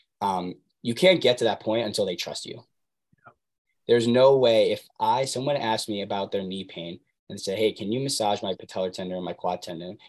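A man with an American accent has an ordinary speaking voice at a medium pitch, with ordinary pitch variation, big swings in loudness and a fairly quick pace against a quiet background. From US Northeast (New Jersey). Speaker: physical therapy graduate, athletic trainer. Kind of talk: casual interview.

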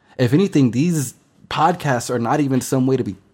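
An animated, somewhat breathy man's voice of medium pitch at a moderate pace, on a very clean recording with a silent background. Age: 20s. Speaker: podcast host. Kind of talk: casual monologue.

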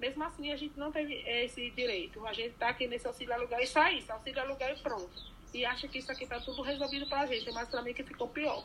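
Amid noticeable background noise, a high-pitched woman speaks at a very fast pace with fairly even intonation. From Bahia, Brazil (Irecê region). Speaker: recycler and housing activist. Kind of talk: interview.

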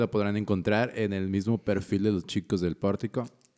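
The voice has a dark, mellow tone and a moderate pace, with a dry, close sound and no echo. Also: man. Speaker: podcast co-host. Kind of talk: casual chat.

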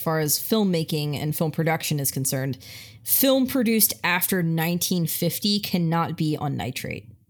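With an American accent, a woman speaks in a very deep, low pitch, her intonation lively and her voice showing vocal fry. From Italian American family. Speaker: film podcast co-host. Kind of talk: casual chat.

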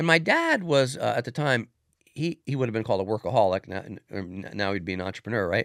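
A man speaks at a very fast pace with lively intonation and medium pitch. The recording is very clean with a silent background and a dry, close sound with no echo. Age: 60s. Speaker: former police officer turned business executive. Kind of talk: casual interview chat.

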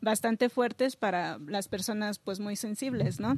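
An ordinary speaking voice, a woman's fairly high one with ordinary pitch variation, moves at a fairly slow pace in a dry, close sound with no echo. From Mexico City. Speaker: visual artist. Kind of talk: casual interview.

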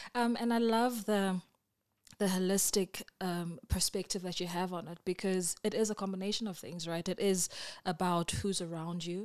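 A woman speaks at a medium pitch and a moderate pace. Her intonation is fairly even. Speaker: podcast host. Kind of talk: interview.

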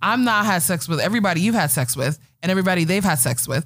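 A woman with an American accent speaks at a fairly low pitch. Her voice is somewhat breathy and swings very widely in pitch. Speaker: podcast host. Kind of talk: casual chat.

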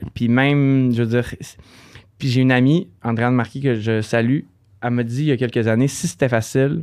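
A man's medium-pitched voice with a Quebec accent, fairly even intonation, a fairly quick pace and long, frequent pauses. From Quebec, Saguenay region. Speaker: hairdresser and salon owner. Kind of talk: casual interview.

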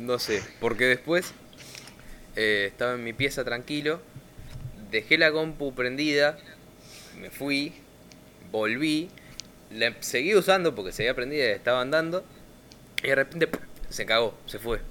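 Speech at a fairly slow pace with long, frequent pauses, a bright, sharp tone and ordinary pitch variation. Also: man, medium pitch for a man. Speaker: podcast host. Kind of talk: casual chat.

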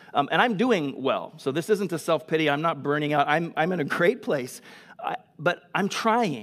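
This man's voice is high-pitched and loud, with an animated tone. His intonation is lively and his pace moderate. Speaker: pastor. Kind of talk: sermon. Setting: church.

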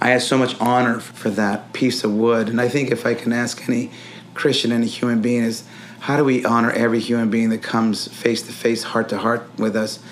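A man's medium-pitched, monotone voice with flat intonation over noticeable background noise. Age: 60s. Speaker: priest. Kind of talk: interview.

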